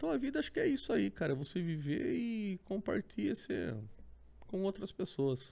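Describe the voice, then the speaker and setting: With very even loudness, a man speaks at a moderate pace. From Sorocaba, São Paulo state, Brazil. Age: 40s. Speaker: motorcycle traveler. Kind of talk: casual chat. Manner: animated.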